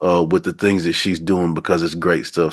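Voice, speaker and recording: The background is quiet as a man with a Southern US accent talks. His pitch is very deep and low, and his pace is fairly quick. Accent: down south. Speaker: podcast host. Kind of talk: casual interview chat.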